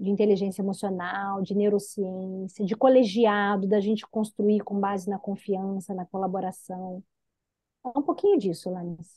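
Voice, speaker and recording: In a Minas Gerais accent, a woman speaks in a somewhat breathy voice with fairly even intonation. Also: medium pitch for a woman. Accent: drawling Minas Gerais. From Minas Gerais / interior of Rio de Janeiro state, Brazil. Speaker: executive development consultant. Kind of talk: interview.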